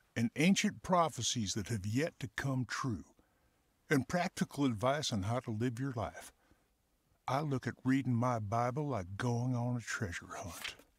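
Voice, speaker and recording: On a very clean recording with a silent background, a man puts on a drawling character voice with a Southern US accent at a medium pitch and moderate pace. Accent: deep southern drawl. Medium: audio drama. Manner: warm, drawling, persuasive.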